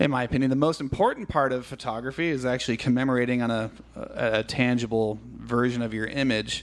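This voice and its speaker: A man's normal speaking voice with an American accent, medium pitch, fairly even intonation and a fairly quick pace. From California. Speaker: podcast host. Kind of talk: interview conversation. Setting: studio.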